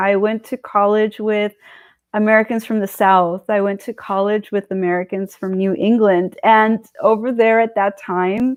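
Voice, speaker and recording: A woman with a Californian accent, medium-pitched, at a moderate pace, in a monotone, flat intonation. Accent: California English. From California, US. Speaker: political commentary streamer. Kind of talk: live stream monologue. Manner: casual, digressive with fillers.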